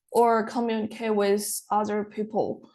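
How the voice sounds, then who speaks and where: At a very slow pace, a woman with a non-native accent speaks in a fairly high voice. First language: not English. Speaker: international student. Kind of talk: interview answers. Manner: halting.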